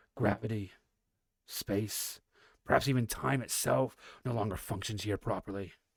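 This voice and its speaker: A man puts on a raspy character voice. He leaves long, frequent pauses. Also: fairly low pitch for a man, moderate pace. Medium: read story. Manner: measured, scholarly.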